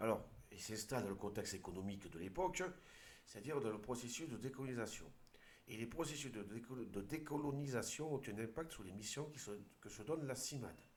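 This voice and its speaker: With an Aude accent, a man at a medium pitch talks at a fairly quick pace with lively intonation, and room echo is audible. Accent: southern French (Aude). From southern France, Aude. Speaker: video commentator. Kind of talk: commentary with reading aloud. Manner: halting, with hesitations.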